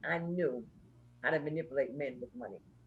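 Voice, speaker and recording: A woman's somewhat breathy, fairly low voice, animated in tone and very fast in pace. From Brooklyn, New York (Bed-Stuy). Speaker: singer and social worker, interview guest. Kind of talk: candid interview testimony.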